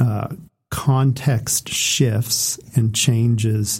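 A man talks at a medium pitch in a somewhat breathy voice with a dark, mellow tone and ordinary pitch variation. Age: 40s. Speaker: podcast co-host. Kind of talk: casual chat.

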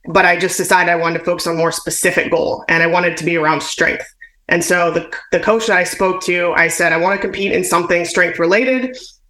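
A very fast pace, with noticeable background noise and audible room echo. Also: woman. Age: 30s. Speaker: weightlifter and kettlebell trainer. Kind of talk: interview.

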